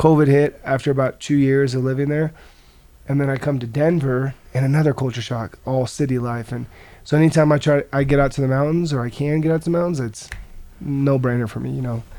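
A man with an American accent speaks at a very fast pace, his fairly high voice dark and mellow in tone, with fairly even intonation. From US Midwest, rural Nebraska. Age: 20s. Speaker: mixed martial arts fighter. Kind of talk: casual chat.

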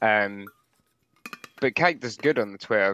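With an English accent, a man speaks with ordinary pitch variation, the sound dry and close with no echo, and the background quiet. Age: 30s. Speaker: metal musician. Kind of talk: casual chat. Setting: video call.

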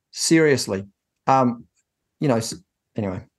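A man with a New Zealand accent at a fairly quick pace, against a quiet background. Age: 50s. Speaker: business coach and accountant. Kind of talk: interview. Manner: halting.

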